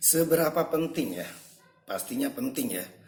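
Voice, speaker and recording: Noticeable background noise beneath a voice with very wide swings in pitch. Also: man. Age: 20s. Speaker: primary school teacher. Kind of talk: interview answers.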